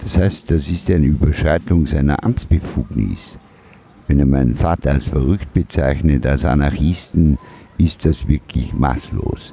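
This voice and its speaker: Over noticeable background noise, a man talks with a very deep, low pitch and ordinary pitch variation. His pace is fairly slow and his loudness very even. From Austria (Vorarlberg, then Vienna). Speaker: micronation president, art project heir. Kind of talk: interview.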